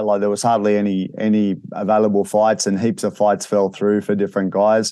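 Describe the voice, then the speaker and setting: A man has a plain, everyday voice with a fairly low pitch and a moderate pace. The background is quiet. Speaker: MMA podcast host. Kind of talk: casual interview.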